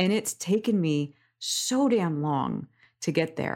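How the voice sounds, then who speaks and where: At a very slow pace, a woman with an American accent talks at a fairly low pitch in a very clean recording with a silent background. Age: 40s. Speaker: somatic coach. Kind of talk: interview conversation.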